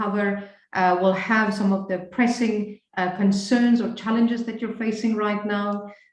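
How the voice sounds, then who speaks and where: Amid audible room echo, a woman of medium pitch talks at a moderate pace in a monotone, flat intonation. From Namibia. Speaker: leadership coach. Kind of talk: webinar presentation. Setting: video call.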